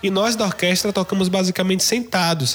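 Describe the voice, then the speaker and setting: Amid noticeable background noise, a man talks fairly quickly at a high pitch. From Salvador, Bahia. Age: 20s. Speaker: guitarist. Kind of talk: storytelling.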